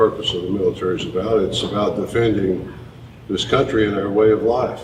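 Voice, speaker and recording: A man with a fairly low pitch is heard amid audible room echo and noticeable background noise. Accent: Tennessee. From US South, East Tennessee. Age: 60s. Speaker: presidential candidate. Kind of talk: town hall interview. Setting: town hall event.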